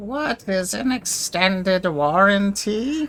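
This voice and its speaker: Very slow pace and middle pitch in a put-on character voice. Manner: questioning, puzzled.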